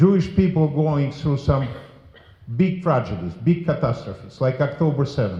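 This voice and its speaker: A man speaks at a fairly high pitch with a dark, mellow tone and vocal fry. His pace is moderate and his intonation lively. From former Soviet Union. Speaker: politician. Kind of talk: memorial speech. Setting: memorial service with audience. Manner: forceful.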